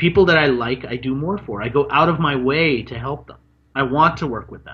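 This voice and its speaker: Lively in intonation and marked by vocal fry, the speaker talks at a fairly quick pace in an American accent. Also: man. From Washington D.C. area, US. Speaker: marketing expert and author. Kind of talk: interview.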